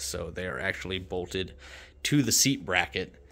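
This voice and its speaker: This man's voice sits at a very deep, low pitch. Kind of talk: tutorial. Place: garage. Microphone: phone near.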